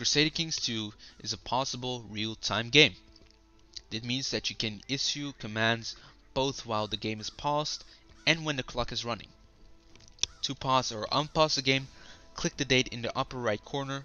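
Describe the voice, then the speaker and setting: Over music in the background, a man with a Dutch accent talks at a moderate pace and medium pitch, with ordinary pitch variation and long, frequent pauses. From Netherlands. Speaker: gaming YouTuber. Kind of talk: reading aloud; gameplay commentary.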